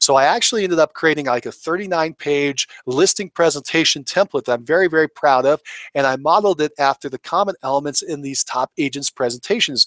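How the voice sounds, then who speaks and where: Talking at a very fast pace, a man has a fairly high pitch and ordinary pitch variation. He leaves hardly any pauses, and the sound is dry and close with no echo. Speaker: real estate coach. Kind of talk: webinar presentation. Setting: online webinar. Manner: animated.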